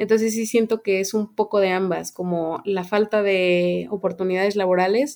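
Using a plain, everyday voice, a woman talks at a moderate pace and medium pitch with fairly even intonation. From Mexico, Querétaro. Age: 20s. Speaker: biologist. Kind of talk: interview.

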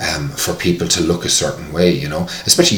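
A man talks at a fairly quick pace with an Irish accent. Audible room echo and noticeable background noise are present. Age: 40s. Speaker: fitness tutor. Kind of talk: casual interview.

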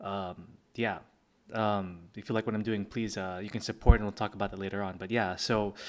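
Fairly quick, monotone, flat speech from a man at a fairly low pitch, with big swings in loudness. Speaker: podcast host and comic creator. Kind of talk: casual solo podcast talk. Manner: hesitant, many fillers; quiet.

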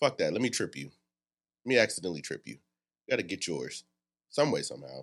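The tone is animated, with vocal fry. The background is quiet. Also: man. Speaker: podcast host. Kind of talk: casual chat. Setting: studio.

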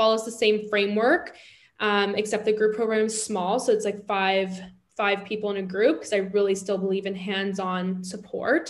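A woman with a normal speaking voice talks at a moderate pace, medium in pitch, with fairly even intonation. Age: 30s. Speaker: body image and confidence coach. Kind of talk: casual interview chat.

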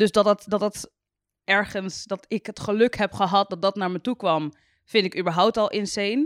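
At a moderate pace, a woman of medium pitch speaks with ordinary pitch variation in a very clean recording with a silent background and a dry, close sound with no echo. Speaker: YouTuber. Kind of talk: casual chat. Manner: sounds sarcastic even when enthusiastic.

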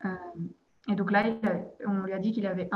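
A monotone, flat intonation comes through in a somewhat breathy voice. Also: woman. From Belgium, province of Liège. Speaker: expatriate. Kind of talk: interview. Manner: hesitant, many fillers and repetitions.

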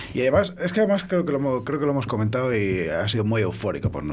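Talking at a very fast pace with very wide pitch swings, a man with a medium-pitched voice is heard through audible room echo and noticeable background noise. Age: 30s. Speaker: restaurant chef. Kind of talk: casual chat.

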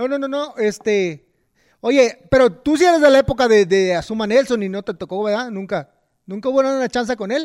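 On a very clean recording with a silent background, a speaker with a Mexican accent talks at a moderate pace with ordinary pitch variation. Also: man, extremely high pitch for a man. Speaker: boxing podcast host. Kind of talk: casual interview chat. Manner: halting, many repetitions.

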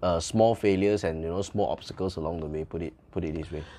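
Speaking at a very fast pace, a man talks with a Malaysian accent. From Malaysia, Subang, Kuala Lumpur area. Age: young. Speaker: bubble tea franchise owner. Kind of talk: interview. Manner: hesitant, many fillers.

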